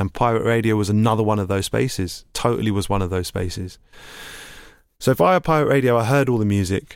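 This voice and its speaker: In a London accent, a man talks at a very fast pace and a fairly low pitch, on a very clean recording with a silent background. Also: ordinary pitch variation. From East London (Hackney). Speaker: DJ and producer. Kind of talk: interview conversation.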